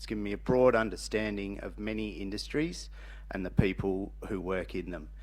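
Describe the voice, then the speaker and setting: A man with an Australian accent, at a fairly quick pace. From rural Western Australia. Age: 40s. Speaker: council candidate. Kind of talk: candidate speech.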